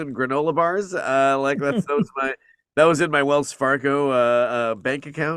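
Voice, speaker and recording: On a very clean recording with a silent background, a man with a plain, everyday voice speaks at a moderate pace, fairly high in pitch with lively intonation. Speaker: voice actor. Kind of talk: interview answer.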